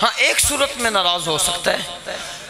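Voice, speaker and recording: A man speaks in a raised, projected voice at a fairly slow pace. Noticeable background noise runs underneath. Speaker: Islamic cleric. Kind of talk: religious speech. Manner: animated.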